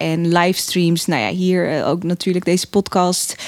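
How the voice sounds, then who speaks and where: A woman with an unremarkable speaking voice and medium pitch speaks at a moderate pace. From Netherlands, Assen (born in Eritrea). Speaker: political candidate, political scientist. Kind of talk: podcast interview.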